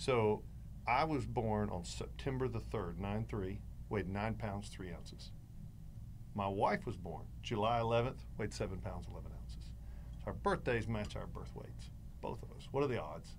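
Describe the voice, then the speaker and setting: A man talks at a moderate pace with a North Carolina accent. Room echo is audible. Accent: Southern US (North Carolina). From North Carolina, near Greensboro. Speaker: pastor. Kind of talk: casual interview.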